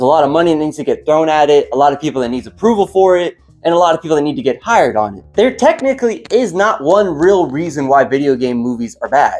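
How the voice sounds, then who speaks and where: Against music in the background, a man's voice swings very widely in pitch. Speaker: video essayist. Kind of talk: scripted commentary.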